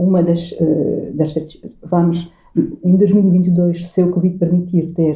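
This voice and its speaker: A woman's fairly low-pitched voice with music in the background. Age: 50s. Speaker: coach and NLP trainer. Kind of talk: casual interview. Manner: halting, frequent repetitions.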